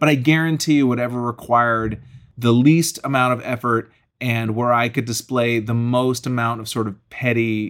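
A man's plain, everyday voice at medium pitch, moderate in pace with ordinary pitch variation, on a very clean recording with a silent background. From Massachusetts (Acton, near Boston). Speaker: stand-up comedian. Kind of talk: casual chat.

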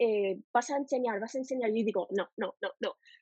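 Fairly quick delivery from a woman, pitch varying in an ordinary way. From United States. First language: English (speaking Spanish). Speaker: language teacher. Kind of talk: interview. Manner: halting.

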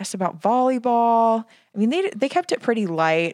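A woman speaks in a plain, everyday voice at a moderate pace. The sound is dry and close with no echo, and the recording is very clean, with a silent background. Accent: American. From Scottsdale, Arizona. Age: 20s. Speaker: pageant contestant guest. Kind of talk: casual chat.

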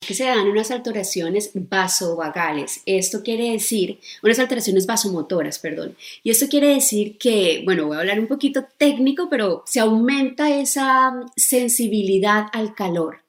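With an unremarkable speaking voice, a woman talks at a moderate pace in a fairly high pitch with lively intonation. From Colombia. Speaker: gynecologist. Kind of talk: expert explanation in interview.

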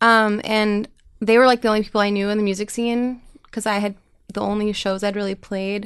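An unremarkable speaking voice moves at a fairly quick pace with fairly even intonation against a quiet background. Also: woman. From New York City, then small-town Minnesota. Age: 20s. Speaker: singer-songwriter. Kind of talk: casual interview chat. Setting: studio.

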